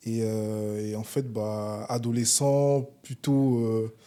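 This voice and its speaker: A man's dark, mellow tone. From Paris region, France (arrived from Congo at age seven). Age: 30s. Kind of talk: interview.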